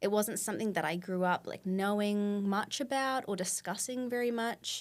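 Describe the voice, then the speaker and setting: In a very clean recording with a silent background, a woman with an Australian accent speaks at medium pitch and a moderate pace, with ordinary pitch variation. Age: 20s. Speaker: nonprofit co-founder and president. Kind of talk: podcast interview. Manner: casual, many fillers.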